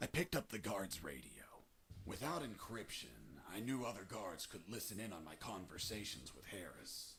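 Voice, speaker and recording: Over clear background noise, a man puts on a character voice at a fairly low pitch, swinging very widely in pitch at a moderate pace. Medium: video game. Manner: dry, laconic.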